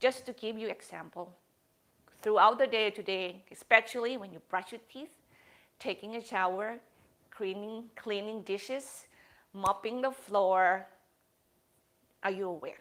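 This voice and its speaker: A woman's medium-pitched voice at a fairly slow pace, with fairly even intonation, big swings in loudness, and long, frequent pauses. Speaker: yoga teacher. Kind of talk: yoga class talk.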